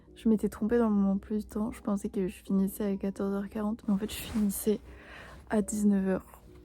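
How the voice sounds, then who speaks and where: With music playing in the background, a woman with a medium-pitched voice talks at a moderate pace in a monotone, flat intonation. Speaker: Korean language learner. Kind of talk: casual vlog talk to camera.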